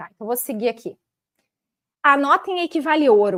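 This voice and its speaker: A woman speaks with lively intonation. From southern Brazil, Porto Alegre. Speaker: karmic astrologer. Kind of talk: live-stream talk.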